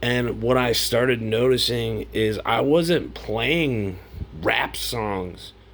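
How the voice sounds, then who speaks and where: With audible room echo, a man talks at a very slow pace and medium pitch with ordinary pitch variation. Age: 40s. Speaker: vlogger. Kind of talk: casual monologue. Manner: conversational, filler words.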